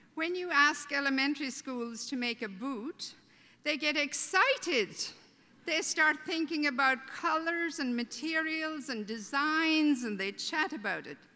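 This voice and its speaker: A woman's high, raised, projected voice with a bright, sharp tone and an Irish accent, at a fairly slow pace with ordinary pitch variation. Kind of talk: welcome speech. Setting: stage with audience at a convention. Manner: humorous, conversational.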